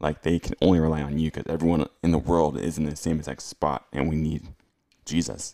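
This man has a very deep, low pitch and a dark, mellow tone with vocal fry. He talks at a fairly quick pace. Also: dry, close sound with no echo. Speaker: podcast host. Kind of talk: casual interview. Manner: enthusiastic.

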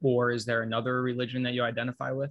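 A medium pitch marks this voice. It belongs to a man. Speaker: podcast host. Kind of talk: interview.

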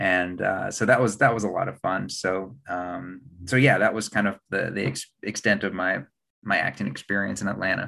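A man's fairly low, bright, sharp voice in an American accent, with vocal fry, ordinary pitch variation and a moderate pace. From West Virginia (Huntington). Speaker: actor and TV news anchor. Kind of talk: casual interview.

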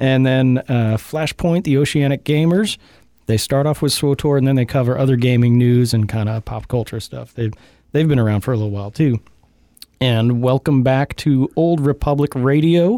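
Recorded dry and close with no echo, a man speaks at a moderate pace and a medium pitch. He has an unremarkable speaking voice with ordinary pitch variation. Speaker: podcast host. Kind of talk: casual banter.

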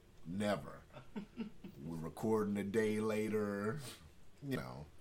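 Lively in intonation, a man speaks at a fairly low pitch and a very slow pace with long, frequent pauses. Audible room echo can be heard. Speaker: podcast host. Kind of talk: casual chat.

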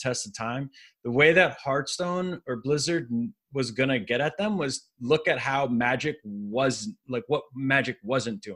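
In an unremarkable speaking voice, the speaker moves at a fairly slow pace with lively intonation, on a very clean recording with a silent background. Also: man. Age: 30s. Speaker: poker player and podcast co-host. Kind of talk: casual chat.

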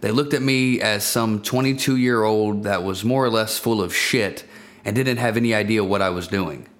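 Amid audible room echo, a man keeps a very even loudness, speaking at a medium pitch and moderate pace with ordinary pitch variation. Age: 20s. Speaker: business owner and investor. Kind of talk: personal story monologue.

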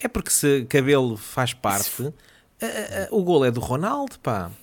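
A man speaks with a European Portuguese accent at a fairly slow pace. His pitch sits fairly high. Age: 40s. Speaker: podcast co-host. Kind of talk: casual chat.

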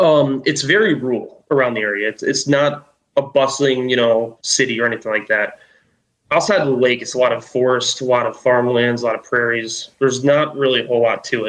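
A man with an American accent talks at a fairly quick pace in a normal speaking voice, medium in pitch with fairly even intonation. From Chicago suburbs, US Midwest. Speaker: Bigfoot witness. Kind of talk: casual interview, storytelling.

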